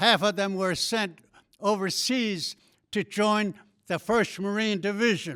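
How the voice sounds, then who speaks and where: At a very slow pace, a man with a Southwestern US accent speaks in a high pitch with fairly even intonation on a very clean recording with a silent background. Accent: Navajo-accented English. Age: 90s. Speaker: war veteran. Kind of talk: ceremonial speech. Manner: halting.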